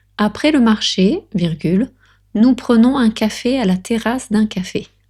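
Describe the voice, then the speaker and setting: A very slow, somewhat breathy woman's voice with a dark, mellow tone. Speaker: French tutor. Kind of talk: language lesson dictation reading. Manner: natural pace reading.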